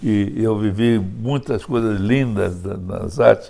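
A man's voice with a dark, mellow tone. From Brazil (Rio de Janeiro), born in Poland. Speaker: businessman and author. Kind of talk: interview. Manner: halting.

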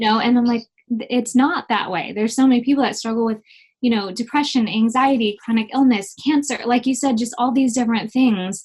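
Her pitch high, a woman speaks at a fairly quick pace. Her intonation stays fairly even. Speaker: singer-songwriter and teacher. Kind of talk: casual interview chat.

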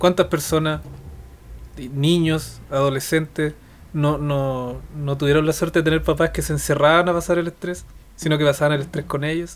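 Delivered at a moderate pace in a Chilean accent, the speech has a monotone, flat intonation. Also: man, fairly high pitch for a man. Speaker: podcast co-host. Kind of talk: casual chat.

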